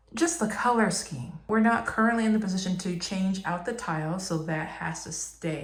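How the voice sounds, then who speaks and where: There is audible room echo and noticeable background noise as a woman speaks at a moderate pace with ordinary pitch variation. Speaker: DIY lifestyle vlogger. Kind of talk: casual vlog narration. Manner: whispering quietly.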